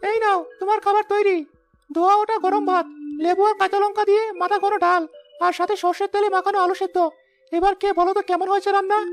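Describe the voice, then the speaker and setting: In a cartoonish character voice, the speaker talks at a fairly quick pace with an extremely high pitch and monotone, flat intonation. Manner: dignified, warm.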